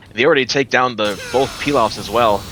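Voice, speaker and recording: Over noticeable background noise, a man talks at a medium pitch. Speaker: esports caster. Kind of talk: live commentary. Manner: fast; animated.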